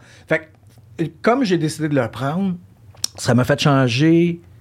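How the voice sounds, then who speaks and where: Somewhat breathy and fairly high-pitched, a man talks at a fairly slow pace with lively intonation. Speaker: podcast host. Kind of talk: casual interview chat. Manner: code-switching French and English.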